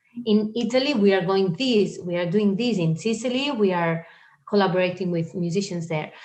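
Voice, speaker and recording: A woman with a Spanish accent speaks at a moderate pace and medium pitch, with ordinary pitch variation. Noticeable background noise is present. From Spain. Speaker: singer. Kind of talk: interview.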